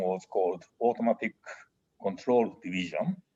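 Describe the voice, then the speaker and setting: A man with a Japanese accent speaks at medium pitch and a moderate pace, his tone dark and mellow. His intonation is lively, and the sound is dry and close with no echo. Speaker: engineering professor and dean. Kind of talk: interview. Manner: halting.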